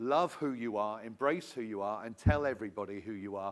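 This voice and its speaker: With a British accent, a man of fairly low pitch talks at a fairly quick pace with ordinary pitch variation in a very clean recording with a silent background. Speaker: songwriting academy representative. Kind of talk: audience comment at workshop.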